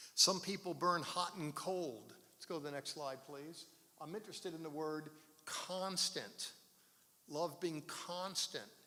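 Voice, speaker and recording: A man's high-pitched, bright, sharp voice at a fairly slow pace, with ordinary pitch variation, big swings in loudness, and audible room echo. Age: 70s. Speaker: pastor. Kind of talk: sermon. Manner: halting.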